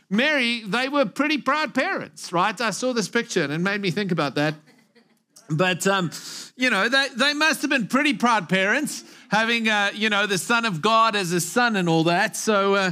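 A man's raised, projected voice, bright and sharp in tone with lively intonation, over a quiet background. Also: moderate pace. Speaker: pastor. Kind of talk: sermon. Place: church. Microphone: headset.

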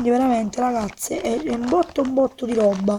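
At a fairly slow pace, a woman talks in a high pitch with ordinary pitch variation over light background noise. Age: young. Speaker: beauty vlogger. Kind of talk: casual product presentation to camera. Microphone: phone near.

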